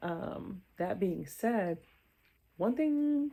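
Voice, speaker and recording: In a very clean recording with a silent background, a woman speaks with a dark, mellow tone and very wide pitch swings. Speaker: beauty vlogger. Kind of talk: product review.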